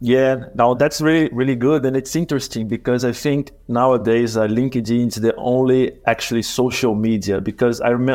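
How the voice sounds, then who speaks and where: Speaking with a Portuguese accent, a man keeps a fairly quick pace with hardly any pauses, using a medium pitch and fairly even intonation. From Brazil. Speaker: podcast co-host, marketer. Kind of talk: interview. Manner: halting, many fillers.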